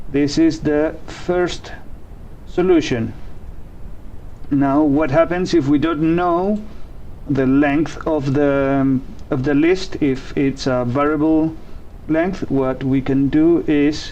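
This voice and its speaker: Speaking with a non-native accent at a very slow pace, the voice leaves long, frequent pauses over noticeable background noise. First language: not English. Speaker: programming tutorial host. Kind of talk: tutorial. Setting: live stream. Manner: hesitant, with fillers.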